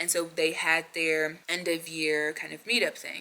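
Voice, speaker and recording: There is noticeable background noise. Through it, a woman speaks with an American accent. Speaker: vlogger. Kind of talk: casual vlog talk.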